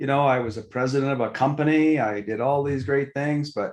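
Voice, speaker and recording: Over a quiet background comes an ordinary speaking voice. It moves at a moderate pace with fairly even intonation. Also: man. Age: 60s. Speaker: mindfulness teacher and entrepreneur. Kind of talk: podcast interview.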